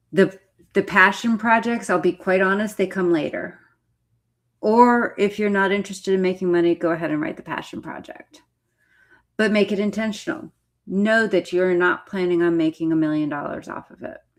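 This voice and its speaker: A woman speaks at a moderate pace with medium pitch and ordinary pitch variation. Her loudness swings widely. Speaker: author and writing coach. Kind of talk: live stream teaching. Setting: live stream. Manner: casual, blunt; words run together.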